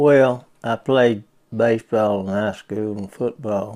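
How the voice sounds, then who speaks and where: A man with a Southern US accent talks very slowly in a fairly low pitch. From US South, Bristol, Florida. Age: 70s. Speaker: retired sports coach. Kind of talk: interview. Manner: brief, measured answers.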